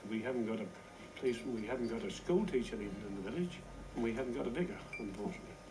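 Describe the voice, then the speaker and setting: A man's medium-pitched voice at a very fast pace, swinging very widely in pitch, over noticeable background noise. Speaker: village resident. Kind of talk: interview answer.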